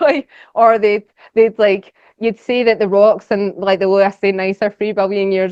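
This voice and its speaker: A woman speaks at a medium pitch in a Scottish accent. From Scotland. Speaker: geologist and social media educator. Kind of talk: lecture. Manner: fast; casual, animated.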